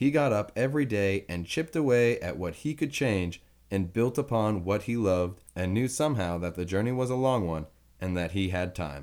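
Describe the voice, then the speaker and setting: On a very clean recording with a silent background, a man in an unremarkable speaking voice talks at a moderate pace, fairly low in pitch with lively intonation. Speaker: narrator reading an article aloud. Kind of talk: reading aloud a written eulogy tribute.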